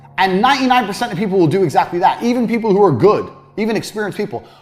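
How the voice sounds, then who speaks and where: Music plays underneath the voice. The delivery is very fast. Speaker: sales trainer, lecturer. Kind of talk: informal instructional. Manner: fast talker; fluent, few filler words.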